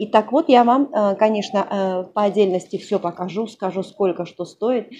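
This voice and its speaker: A woman's voice has a dark, mellow tone and ordinary pitch variation. Light background noise is audible. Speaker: vlogger. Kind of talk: casual vlog chat. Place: home room. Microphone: lapel.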